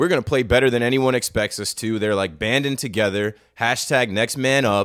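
In a very clean recording with a silent background, a man has a plain, everyday voice, a moderate pace and ordinary pitch variation. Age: 30s. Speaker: baseball podcast co-host. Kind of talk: casual chat.

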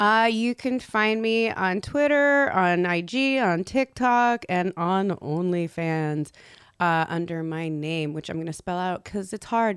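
A woman's lively intonation at a very slow pace, in a very clean recording with a silent background. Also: medium pitch for a woman. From US (born in France, moved at five; Persian family). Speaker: adult performer. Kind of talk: casual chat.

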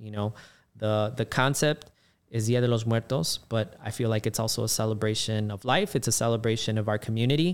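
On a very clean recording with a silent background, a man speaks with a Chicago accent at a fairly quick pace. His pitch is medium and his intonation fairly even. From Chicago, South Side. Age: 40s. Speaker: race organizer and runner. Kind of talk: casual chat.

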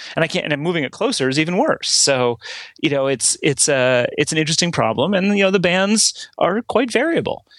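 Recorded with a dry, close sound and no echo, a man with an unremarkable speaking voice talks at a fairly quick pace with lively intonation. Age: 40s. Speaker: tech journalist. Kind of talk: casual interview chat.

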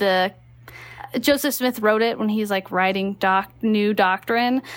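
Heard in a very clean recording with a silent background, a woman with an American accent and a fairly high pitch talks at a moderate pace in a normal speaking voice. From Texas. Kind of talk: casual chat.

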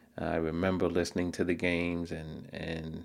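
This man talks at a fairly slow pace with an American accent. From New York City, Queens. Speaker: sports commentator. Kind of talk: solo commentary.

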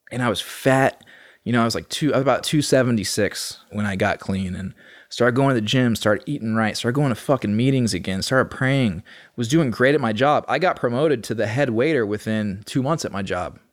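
With an American accent and an ordinary speaking voice, a man of medium pitch talks at a fairly quick pace with ordinary pitch variation. The recording is very clean, with a silent background. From Austin, Texas. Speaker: recovering addict. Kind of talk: casual chat.

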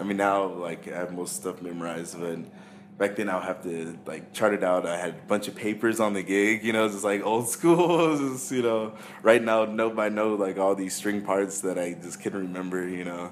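A man's fairly low voice with an American accent at a moderate pace, with noticeable background noise. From California. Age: 20s. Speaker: pianist. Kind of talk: casual interview.

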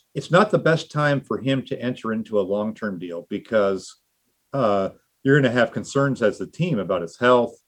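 A man speaks at a moderate pace in an ordinary speaking voice, medium in pitch, with lively intonation. The background is quiet. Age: 50s. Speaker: football journalist. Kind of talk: casual chat.

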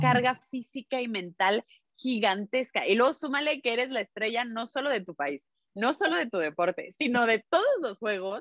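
A woman speaks in a normal speaking voice, fairly high-pitched, at a fairly slow pace with lively intonation. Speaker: sports journalist. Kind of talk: casual chat.

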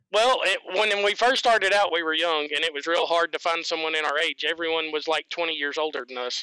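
Talking at a fairly quick pace with hardly any pauses, a man uses a high pitch and ordinary pitch variation in a Southern US accent. The sound is dry and close, with no echo. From US South. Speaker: guest sharing his sex life. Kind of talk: interview.

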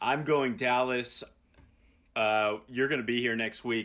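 With an American accent, a man speaks at a medium pitch in a bright, sharp tone with fairly even intonation. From Indianapolis, Indiana. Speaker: podcast host. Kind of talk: casual banter podcast. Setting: remote recording. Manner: joking, laid-back.

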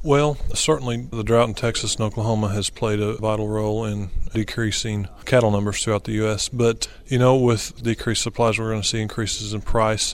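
A man with an American accent has an ordinary speaking voice at medium pitch and fairly even intonation. He talks at a fairly quick pace with hardly any pauses. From southwest Missouri. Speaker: beef farmer. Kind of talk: interview.

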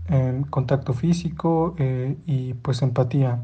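Speaking with a central Mexican accent, a man has a dark, mellow tone that is somewhat breathy. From Mexico, Hidalgo. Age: 20s. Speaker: listener sending voice message. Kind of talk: recorded voice message. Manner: formal.

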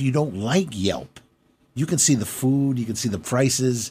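A man's somewhat breathy, dark, mellow voice with ordinary pitch variation, on a very clean recording with a silent background. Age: 60s. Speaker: restaurateur. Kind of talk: interview. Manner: halting.

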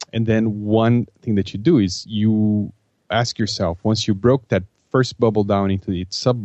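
With a non-native accent, a man talks at a moderate pace, his fairly low pitch showing ordinary variation. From Brazil. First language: Portuguese. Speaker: project management consultant and author. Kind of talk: interview. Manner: halting, frequent repetitions and fillers.

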